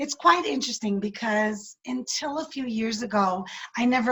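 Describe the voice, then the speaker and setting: A woman's fairly high voice, lively in intonation, at a moderate pace. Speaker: businesswoman and women's coach. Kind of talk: interview.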